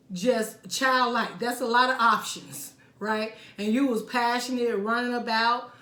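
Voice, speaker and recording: At a fairly slow pace, a woman speaks in a high pitch, with audible room echo around her voice. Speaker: tarot reader. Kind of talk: tarot reading monologue.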